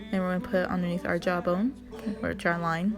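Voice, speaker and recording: Music plays in the background. A woman talks at a medium pitch with ordinary pitch variation. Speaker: makeup vlogger, mom. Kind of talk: makeup tutorial talk to camera. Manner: casual, awkward, self-deprecating.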